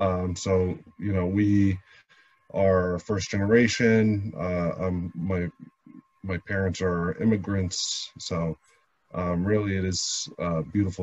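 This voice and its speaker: A man's very deep, low voice with fairly even intonation, dry and without echo. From New Jersey, Jersey City; New Jersey. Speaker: lawyer and city councilman; lawyer, city councilman. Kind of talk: interview. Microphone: video call.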